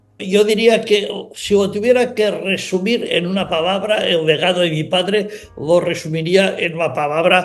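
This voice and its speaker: Music plays in the background as a man talks at a high pitch. His pace is fairly slow, with ordinary pitch variation. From Spain. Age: 70s. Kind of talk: interview.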